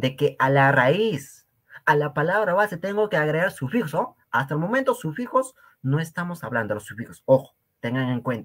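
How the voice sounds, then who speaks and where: Over a quiet background, a man with a fairly high voice talks at a moderate pace in an animated tone, his pitch swinging very widely. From Peru, Cusco region (rural Quechua community). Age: young. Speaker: Quechua language teacher. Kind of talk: lecture. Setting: live stream.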